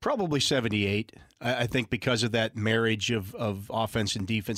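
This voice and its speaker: This man has a Pittsburgh accent. He keeps a moderate pace. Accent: Western Pennsylvania (Pittsburgh). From Western Pennsylvania. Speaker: sports radio panelist. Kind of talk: casual chat.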